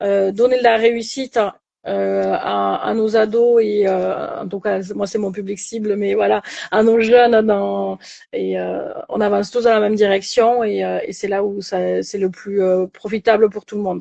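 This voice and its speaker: A woman with a southern French accent, at a fairly slow pace. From southern France. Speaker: coach. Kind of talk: casual chat. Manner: hesitant, many fillers.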